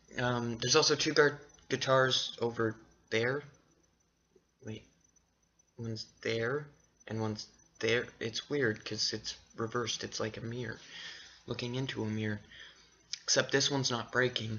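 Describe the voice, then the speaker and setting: Long, frequent pauses break up a man's speech, delivered at a moderate pace and medium pitch with fairly even intonation. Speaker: vlogger. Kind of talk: casual vlog monologue. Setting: at home on camera. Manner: rambling with fillers and restarts.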